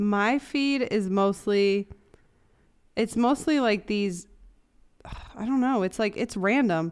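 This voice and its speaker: A woman at a fairly high pitch and very slow pace, with long, frequent pauses. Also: ordinary pitch variation. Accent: American. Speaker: host's girlfriend. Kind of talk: casual chat.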